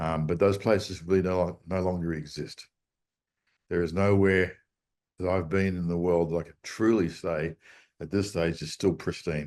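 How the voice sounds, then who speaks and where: Against a quiet background, a man with an Australian accent and a very deep, low voice speaks in a monotone, flat way at a moderate pace with long, frequent pauses. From Australia, Sydney. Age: 60s. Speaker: surf charter captain. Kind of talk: interview. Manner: hesitant with fillers.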